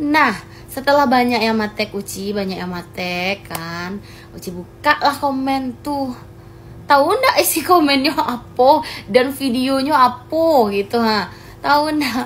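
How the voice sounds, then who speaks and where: Speaking very slowly in a West Sumatran accent, a woman uses a high pitch, lively intonation and big swings in loudness. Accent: Minangkabau dialect of her village. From West Sumatra, Pasaman Barat. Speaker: social media content creator. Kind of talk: vlog clarification. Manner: animated.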